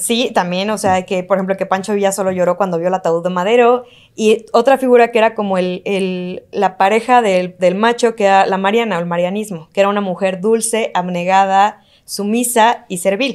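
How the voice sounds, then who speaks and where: A woman with a Mexican accent speaks at a moderate pace with fairly even intonation and hardly any pauses over a quiet background. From Mexico. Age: 30s. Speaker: legal expert; podcast guest or host. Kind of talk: interview conversation; conversational podcast discussion. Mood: relaxed, smiling. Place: studio. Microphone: studio mic.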